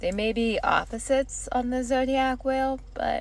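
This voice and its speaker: A woman speaks with vocal fry. Her pace is very slow. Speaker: astrology vlogger. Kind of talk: casual vlog monologue. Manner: animated.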